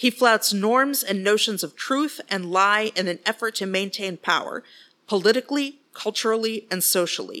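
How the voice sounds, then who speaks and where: A woman with an American accent speaks at a moderate pace in a fairly high pitch, her tone bright and sharp and her pitch variation ordinary, on a very clean recording with a silent background. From West Texas. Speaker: podcast host. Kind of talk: solo commentary podcast.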